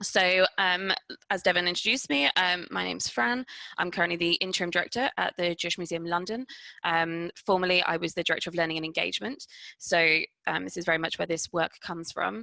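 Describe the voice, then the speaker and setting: Very fast speech comes from a woman with a fairly low pitch, recorded with a dry, close sound and no echo. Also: ordinary pitch variation. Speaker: museum director. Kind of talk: webinar presentation. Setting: video call.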